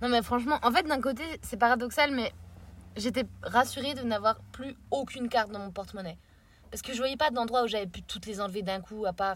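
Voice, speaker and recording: Against a very clean recording with a silent background, a woman with a fairly high pitch talks at a fairly quick pace in an animated tone, with ordinary pitch variation and big swings in loudness. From France. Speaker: traveller on a road trip. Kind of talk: casual chat.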